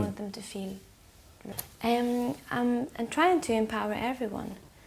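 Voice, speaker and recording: A soft-spoken woman talks at a fairly high pitch. Her pitch varies in an ordinary way. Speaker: singer-songwriter. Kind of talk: interview answer.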